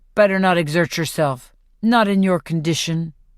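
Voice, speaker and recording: In a put-on character voice at a middle pitch, the speaker goes at a moderate pace on a very clean recording with a silent background. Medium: read story. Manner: smooth, teasing.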